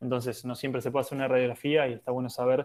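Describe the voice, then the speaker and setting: Monotone and flat in intonation, a man's voice stays at a medium pitch. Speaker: physiotherapist for national handball teams. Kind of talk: lecture. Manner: hesitant, many fillers.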